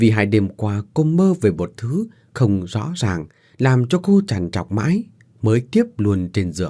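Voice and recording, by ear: A passage is read aloud in a natural voice.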